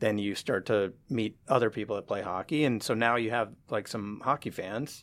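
A man with an American accent and a normal speaking voice talks at a moderate pace and medium pitch, with hardly any pauses, in a very clean recording with a silent background. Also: ordinary pitch variation. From US, San Francisco Bay Area. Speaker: hockey fan community founder. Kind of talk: interview.

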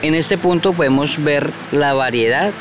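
A man talks over noticeable background noise. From Colombia, Huila; raised in La Macarena, Meta. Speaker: tour guide. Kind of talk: guided tour explanation.

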